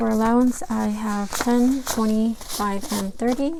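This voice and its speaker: A soft-spoken woman at a moderate pace, fairly high in pitch, with fairly even intonation and noticeable background noise. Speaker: budgeting vlogger. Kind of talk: casual tutorial.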